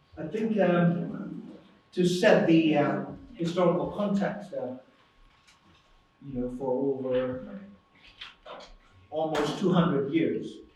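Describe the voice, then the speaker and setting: Loud and high-pitched, a man talks at a very slow pace with ordinary pitch variation and long, frequent pauses, over noticeable background noise and audible room echo. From Myanmar. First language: Burmese. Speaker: academic speaker. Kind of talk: lecture. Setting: conference hall with audience. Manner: halting. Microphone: too quiet for remote listeners.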